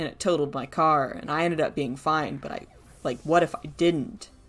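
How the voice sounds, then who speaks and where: A woman with an American accent speaks at a moderate pace. Her pitch is very deep and low, with vocal fry. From US South. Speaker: vtuber streamer. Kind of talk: casual gaming livestream chat. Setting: livestream. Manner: hesitant with many fillers.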